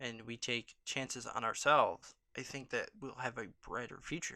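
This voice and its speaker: Soft-spoken delivery at a moderate pace. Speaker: YouTube vlogger. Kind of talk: casual vlog monologue. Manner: hesitant, many filler ums.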